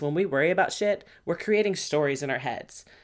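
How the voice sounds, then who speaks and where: An animated tone at a fairly quick pace, with ordinary pitch variation, in a very clean recording over a silent background. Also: woman. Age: 30s. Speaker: podcast host, mindset and fitness coach. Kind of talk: casual monologue. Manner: fast.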